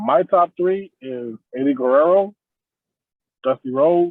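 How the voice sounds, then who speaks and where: A man speaking at a very slow pace. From Nicaragua. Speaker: pro wrestler. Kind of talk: interview.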